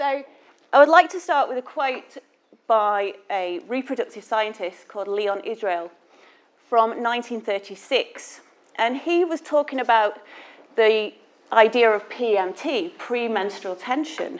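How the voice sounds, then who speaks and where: Fairly slow, fairly high-pitched speech from a woman with a Manchester accent and lively intonation, over a quiet background. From northern England, Manchester. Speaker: class teacher giving a guest lecture. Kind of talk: lecture. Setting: lecture hall with audience.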